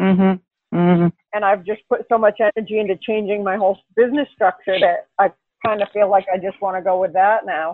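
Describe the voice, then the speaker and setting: Fairly quick and fairly even in intonation, a woman speaks at a medium pitch in a normal speaking voice. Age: 50s. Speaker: personal trainer. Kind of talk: casual interview chat.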